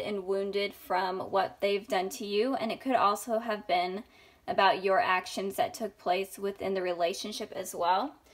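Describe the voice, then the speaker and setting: The speech moves at a moderate pace with fairly even intonation and hardly any pauses. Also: woman. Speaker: tarot reader. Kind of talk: tarot reading to camera. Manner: halting, stumbling.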